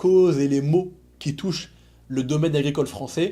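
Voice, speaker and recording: At a moderate pace, a man talks with a dark, mellow tone and fairly even intonation. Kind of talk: channel intro narration. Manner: formal.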